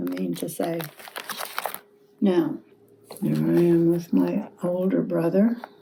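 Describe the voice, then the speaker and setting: A woman at a very slow pace with long, frequent pauses, against noticeable background noise. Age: 80s+. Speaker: grandmother telling family history. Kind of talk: casual reminiscing about family photos. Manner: elderly, slow.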